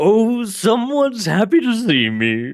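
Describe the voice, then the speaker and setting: In a put-on character voice, a man bellows and growls loudly at a high pitch and a fairly slow pace. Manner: loud, bellowing, happy.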